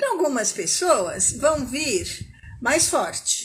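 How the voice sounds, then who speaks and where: A woman is speaking. Her pitch swings very widely. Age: 60s. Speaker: smoking cessation coach. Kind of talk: live talk to online audience. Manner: conversational, informal.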